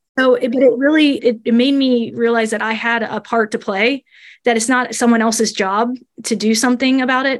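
Her fairly high voice stays monotone and flat as the woman speaks. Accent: American. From Northern Kentucky, near Cincinnati. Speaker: graphic designer and marketing lead. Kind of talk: interview conversation.

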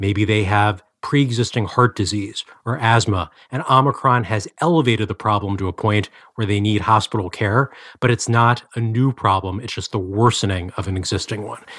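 At a moderate pace, a man uses a normal speaking voice, fairly low in pitch with ordinary pitch variation, on a very clean recording with a silent background. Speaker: health policy reporter. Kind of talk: interview about news.

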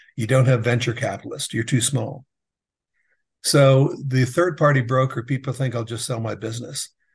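A man's medium-pitched, somewhat breathy voice at a moderate pace with fairly even intonation, against a quiet background. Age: 60s. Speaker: business advisor for contractors, former general contractor. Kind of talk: casual interview.

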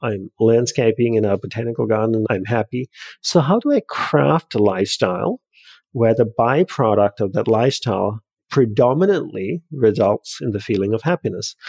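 With an Australian accent, a man of medium pitch talks at a moderate pace with lively intonation, the sound dry and close with no echo. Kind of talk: podcast interview.

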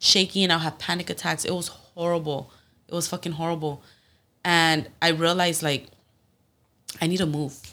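Speaking with a Spanish accent at a moderate pace, a woman uses a fairly low pitch and a bright, sharp tone in a monotone, flat delivery broken by long, frequent pauses, on a very clean recording with a silent background. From Phoenix, Arizona, Mexican family. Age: 20s. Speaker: professional MMA fighter. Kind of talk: casual chat.

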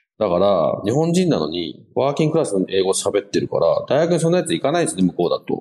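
A man rushes along at a very fast pace with hardly any pauses. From Japan, schooled in UK from junior high. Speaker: podcast navigator and strategy consultant. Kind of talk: casual interview chat.

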